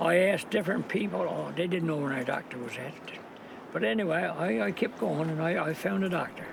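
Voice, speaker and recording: Over noticeable background noise, a man speaks at a fairly quick pace and fairly high pitch, his voice swinging very widely in pitch. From Newfoundland. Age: 80s+. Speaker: fisherman. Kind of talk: interview answer.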